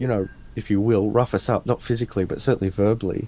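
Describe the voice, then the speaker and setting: A man's medium-pitched, dark and mellow voice with an Australian accent, at a fairly quick pace. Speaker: interview guest. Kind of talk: casual interview chat. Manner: animated storytelling.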